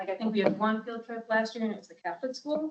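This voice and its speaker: This woman speaks in a fairly high-pitched voice. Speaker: local museum staff presenting to county board. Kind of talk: presentation to board. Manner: fast.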